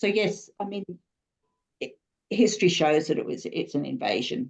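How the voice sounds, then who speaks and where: With an Australian accent, a woman talks at a moderate pace in a medium pitch, her voice showing vocal fry and very wide pitch swings. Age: 60s. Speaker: student. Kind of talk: class discussion. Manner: halting.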